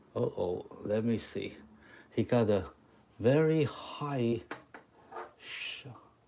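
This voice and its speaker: Speech comes very slowly with long, frequent pauses, in a Chinese accent. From Taiwan. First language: Mandarin Chinese. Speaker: chalk art teacher. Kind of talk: live stream drawing tutorial. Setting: live stream. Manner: halting.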